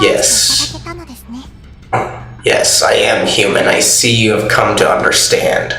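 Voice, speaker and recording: At a fairly slow pace, a put-on character voice comes through with clear music in the background and a slight echo. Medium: game stream. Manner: even, unmoving.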